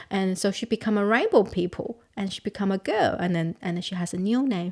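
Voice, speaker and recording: The speaker has a Chinese accent. The pace is moderate. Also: woman. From southern China, Guangxi. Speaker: counsellor. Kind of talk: interview. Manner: halting, frequent repetitions.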